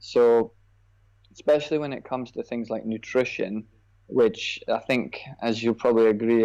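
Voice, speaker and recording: Against a quiet background, a man with a Scottish accent talks at a medium pitch in a dark, mellow tone. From Scotland. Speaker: personal trainer. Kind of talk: podcast interview.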